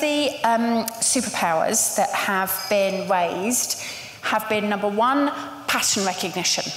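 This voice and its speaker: Fairly slow speech from a woman with a fairly high pitch, plus audible room echo and light background noise. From England. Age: 50s. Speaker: panel moderator, agency co-founder; panel moderator. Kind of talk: live panel moderation. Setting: stage with audience. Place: hall.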